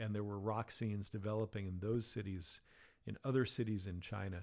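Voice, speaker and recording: A man with an American accent, fairly low in pitch, at a moderate pace on a very clean recording with a silent background. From US Northeast, Massachusetts. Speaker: historian, professor and author. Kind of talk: interview. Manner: halting.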